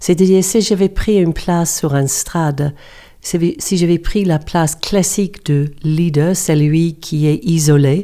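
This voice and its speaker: A woman with a New Zealand accent speaks at a very slow pace in a fairly low pitch, her dark, mellow tone showing ordinary pitch variation. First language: English (speaking French). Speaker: coach and yoga teacher. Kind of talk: interview. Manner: halting.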